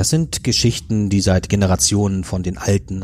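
A man's very deep, low voice at a moderate pace. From northern Germany. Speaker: podcast co-host, thriller author. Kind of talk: narrated crime story; casual chat.

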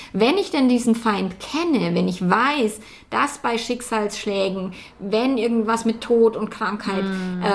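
A woman's fairly high, very slow voice with ordinary pitch variation over noticeable background noise. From Bavaria, rural farm. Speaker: relationship coach. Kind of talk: casual interview. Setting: in person in Hamburg. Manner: animated, laughs often.

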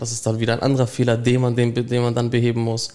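Monotone, flat intonation pairs with a dark, mellow tone. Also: man. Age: young. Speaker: apprentice process mechanic. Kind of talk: interview.

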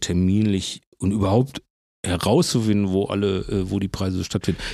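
A man's very deep, low voice at a moderate pace, monotone and flat, on a very clean recording with a silent background. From Bochum, Ruhr area. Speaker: cartoonist and podcast host. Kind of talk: casual chat.

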